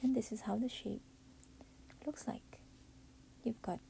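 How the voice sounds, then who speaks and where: Quietly, a woman whispers with vocal fry. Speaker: parent making a baby costume. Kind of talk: DIY craft tutorial narration. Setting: at home while baby sleeps. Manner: whispery, quiet.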